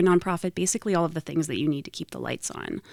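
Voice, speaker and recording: An ordinary speaking voice from a woman, fairly low-pitched and fairly even in intonation, recorded very cleanly against a silent background. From Idaho, Boise. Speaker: nonprofit executive director. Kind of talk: podcast interview.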